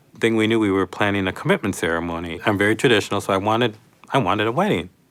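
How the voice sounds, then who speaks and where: A man speaks in an American accent at a fairly low pitch. His pitch variation is ordinary. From northwestern Minnesota. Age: 40s. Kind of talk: personal testimony. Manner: halting, frequent fillers and repeats.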